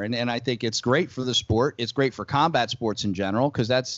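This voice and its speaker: A normal speaking voice from a man, medium in pitch with ordinary pitch variation, at a fairly quick pace. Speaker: podcast interviewer, MMA host. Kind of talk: casual interview talk.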